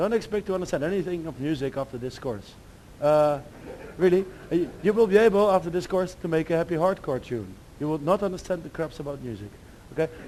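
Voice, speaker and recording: A man with a high pitch and a dark, mellow tone, at a very fast pace with lively intonation. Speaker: demoscene speaker giving a talk. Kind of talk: lecture. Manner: halting.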